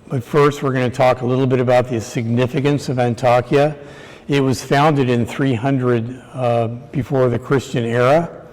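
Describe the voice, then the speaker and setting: With an American accent, a man speaks at a medium pitch and a moderate pace. His intonation is fairly even, and there is noticeable background noise. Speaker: structural engineer. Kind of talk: conference lecture. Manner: hesitant, many fillers.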